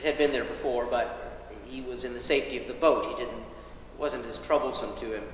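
Audible room echo and light background noise surround a man with an American accent who talks at a fairly quick pace, with hardly any pauses and big swings in loudness. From US South. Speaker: pastor. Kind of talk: sermon. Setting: church. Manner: low energy. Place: church. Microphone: camera far.

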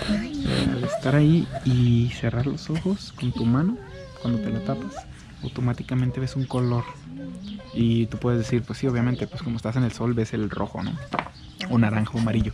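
With a Mexican accent and lively intonation, a man speaks at a moderate pace in a dry sound with no echo, against noticeable background noise. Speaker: travel vlogger. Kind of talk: casual talk to camera. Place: garden. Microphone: phone near.

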